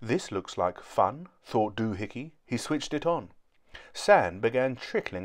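Just plain reading aloud

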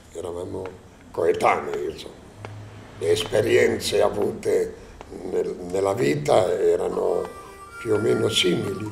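Clear music plays in the background. The speech is fairly slow, with long, frequent pauses. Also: man. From Bergamasco, Piedmont, Italy. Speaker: film set designer. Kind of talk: documentary interview, personal recollections. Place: home room.

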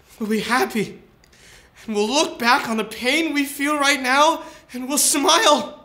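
A tearful tone in a raised, projected voice at a fairly slow pace, with long, frequent pauses. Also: man. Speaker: student actor. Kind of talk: dramatic monologue from a Chekhov play, performed as a comedic promo. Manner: earnest, pleading and consoling, building to fervent exclamations; tender, tearful-sounding reassurance with halting repetitions. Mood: earnest, mock-tearful. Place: studio.

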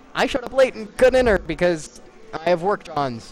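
Putting on a whiny character voice, a man speaks at a high pitch and moderate pace with very wide pitch swings. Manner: sad voice, whiny complaint.

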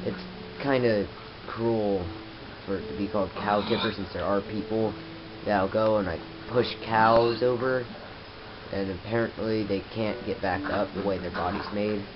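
Against noticeable background noise, a man with a fairly low pitch talks at a moderate pace with fairly even intonation and long, frequent pauses. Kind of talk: casual gameplay commentary. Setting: camera microphone.

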